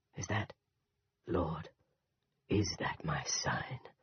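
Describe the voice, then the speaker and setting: Growling, a man performs a put-on character voice. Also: fairly low pitch for a man. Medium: read story.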